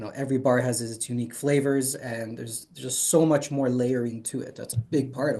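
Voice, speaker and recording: A man speaks at a fairly quick pace with hardly any pauses, in a dark, mellow tone at a medium pitch. His voice is somewhat breathy, with fairly even intonation and big swings in loudness. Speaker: chocolate interview show host. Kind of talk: interviewer questions.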